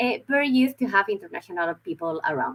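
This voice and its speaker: Speaking at a fairly quick pace with a Spanish accent, a woman's pitch swings very widely. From Spain, Madrid. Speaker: university recruitment representative. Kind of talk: online information session presentation. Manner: halting, with filler words and repetitions.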